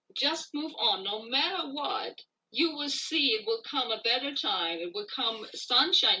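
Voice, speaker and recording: In a raised, projected voice, a woman with a high pitch and a bright, sharp tone speaks at a fairly slow pace. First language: not English. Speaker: singer-songwriter. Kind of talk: interview.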